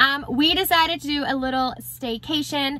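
The tone is bright and sharp, with ordinary pitch variation. The sound is dry with no echo, over light background noise. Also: woman. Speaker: vlogger. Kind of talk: casual vlog chat. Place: car. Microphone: phone near.

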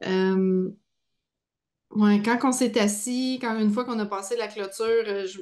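A woman at a fairly high pitch, very slow, with fairly even intonation, long, frequent pauses and a quiet background. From Quebec. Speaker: podcast host. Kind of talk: casual chat. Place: home room. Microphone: video call.

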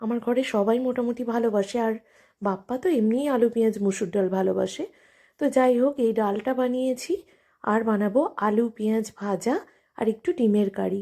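On a very clean recording with a silent background, a woman's fairly high voice has a dark, mellow tone and ordinary pitch variation. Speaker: vlogger. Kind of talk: casual vlog narration. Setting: at home.

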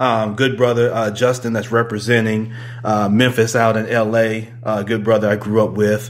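A man is talking. His pace is moderate. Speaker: podcast host. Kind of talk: casual podcast chat greeting live viewers. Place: home room.

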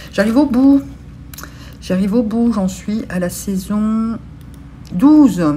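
A woman with a fairly high voice speaks at a very slow pace with ordinary pitch variation. Light background noise can be heard. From Belgium. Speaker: beauty and lifestyle vlogger; lifestyle vlogger. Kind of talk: casual vlog chat to camera. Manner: hesitant with many fillers. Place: home room. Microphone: phone near.

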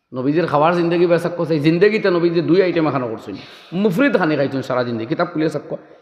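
Over noticeable background noise and audible room echo, a man speaks at a high pitch with ordinary pitch variation. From Assam, India. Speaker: Islamic preacher. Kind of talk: sermon.

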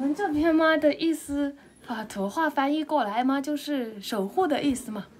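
With a high pitch and lively intonation, a woman speaks at a moderate pace. Light background noise can be heard. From Xishuangbanna, Yunnan (Dai village); Yunnan. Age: 20s. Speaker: villager; local villager host. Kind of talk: casual chat. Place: home room. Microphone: phone near.

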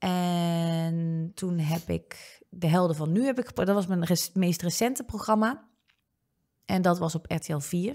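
A woman at a very slow pace, fairly low pitch, dark, mellow tone and ordinary pitch variation, quiet background. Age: 20s. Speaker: online comedian and presenter; online comedian, presenter. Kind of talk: casual chat. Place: studio. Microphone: studio mic.

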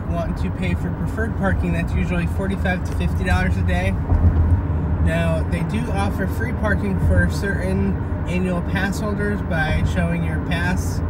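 Loud background noise sits under a man's voice. He speaks at a moderate pace, and the sound is dry with no echo. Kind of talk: casual vlog commentary. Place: car. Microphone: phone near.

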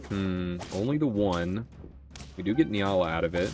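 A man speaks at a moderate pace with a playful tone. His pitch varies an ordinary amount over noticeable background noise. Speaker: gaming YouTuber. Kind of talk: casual gameplay commentary. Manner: casual, thinking aloud, playful.

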